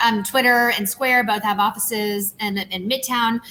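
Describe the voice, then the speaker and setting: Speaking in a Southern US accent, a woman moves along at a moderate pace. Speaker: tech company CEO. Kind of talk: panel interview. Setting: video call from empty office.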